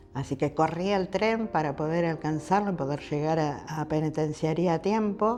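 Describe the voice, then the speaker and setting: This woman's voice sits very deep and low, with ordinary pitch variation. She talks with hardly any pauses. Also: moderate pace. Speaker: widow of founding cadet. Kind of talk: testimony.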